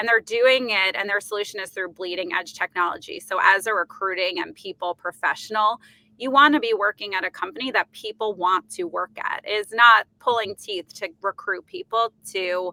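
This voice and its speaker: With a New York accent, a woman speaks at a moderate pace and medium pitch, using ordinary pitch variation. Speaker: company executive. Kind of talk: podcast interview. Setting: remote call from an office booth.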